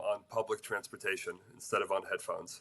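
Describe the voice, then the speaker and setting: A man speaks with an American accent. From United States, emigrated from Odessa, Ukraine at about four. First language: Russian. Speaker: nonprofit executive director, advocate. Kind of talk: interview. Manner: calm, hesitant with fillers.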